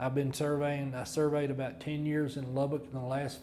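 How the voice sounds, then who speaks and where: At a fairly quick pace, a man talks with medium pitch and fairly even intonation, over noticeable background noise and audible room echo. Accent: West Texas. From Texas, Paducah. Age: 70s. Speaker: land surveyor. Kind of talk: interview. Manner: halting.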